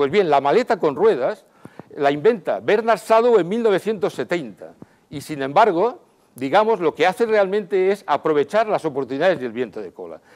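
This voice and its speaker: The speaker's pitch swings very widely and the loudness swings a lot, at a moderate pace over a quiet background. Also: man, high pitch for a man. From Valencia region, Spain (Xàtiva); Valencia, Spain. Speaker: speaker at entrepreneurship event. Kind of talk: short stage talk. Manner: halting. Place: hall. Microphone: lapel.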